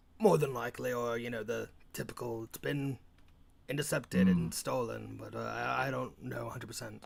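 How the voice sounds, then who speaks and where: A raspy, put-on character voice from a man, medium in pitch, at a moderate pace. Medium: actual play.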